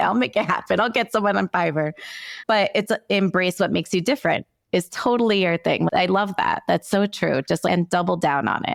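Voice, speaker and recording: A woman with vocal fry talks at a fairly quick pace and very even loudness. The recording is very clean, with a silent background and a dry, close sound with no echo. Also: medium pitch for a woman, ordinary pitch variation. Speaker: podcast host. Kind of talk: casual interview chat. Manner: casual.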